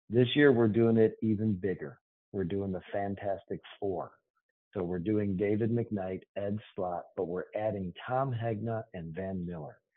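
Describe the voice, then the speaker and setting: A man with a plain, everyday voice and an American accent speaks at a fairly slow pace, with a fairly low pitch and ordinary pitch variation. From Boston. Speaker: financial planning firm executive. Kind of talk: podcast interview.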